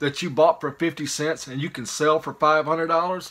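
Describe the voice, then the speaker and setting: A man with a Mississippi accent talks at a moderate pace in a fairly high, bright, sharp voice, in a very clean recording with a silent background. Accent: Southern US (Mississippi). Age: 50s. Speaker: YouTuber, reseller of picked goods. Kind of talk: casual vlog monologue. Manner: rambling, hesitant with fillers.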